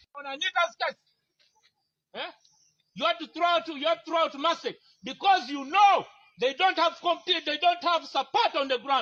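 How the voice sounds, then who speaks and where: The speaker's raised, projected voice has a bright, sharp tone and ordinary pitch variation, moving at a moderate pace with long, frequent pauses. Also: man, extremely high pitch for a man. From Uganda, Teso region. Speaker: aspiring parliamentary candidate. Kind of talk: heated confrontation. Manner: loud; animated.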